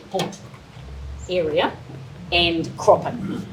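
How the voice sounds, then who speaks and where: Very slowly, a woman speaks with a New Zealand accent in a fairly low voice. Noticeable background noise and audible room echo surround her. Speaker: presenter on horticulture and cropping. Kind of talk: presentation. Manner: hesitant. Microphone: too quiet for room acoustics.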